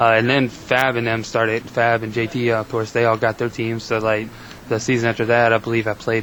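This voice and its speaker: The delivery is fairly quick and monotone, with flat intonation over noticeable background noise. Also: man. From Virginia. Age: 20s. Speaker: gamer, college student. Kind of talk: casual interview.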